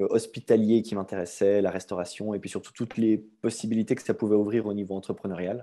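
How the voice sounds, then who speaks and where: His intonation stays fairly even. The man's voice sits fairly low in pitch. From Switzerland, Vaud (near Aubonne). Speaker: gym owner. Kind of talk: podcast interview.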